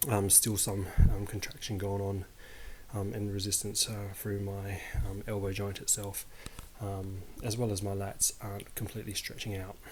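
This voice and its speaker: With audible room echo and noticeable background noise, a man at a fairly low pitch speaks at a moderate pace in a monotone, flat intonation. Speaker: fitness vlogger. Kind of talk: casual vlog monologue. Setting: at home, handheld mic. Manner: halting, many fillers; quiet, not loud.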